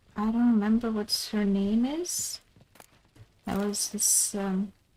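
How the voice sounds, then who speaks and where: A woman speaks quietly at a very slow pace, her pitch fairly high. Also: ordinary pitch variation. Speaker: game streamer. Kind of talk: live gaming stream. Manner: halting.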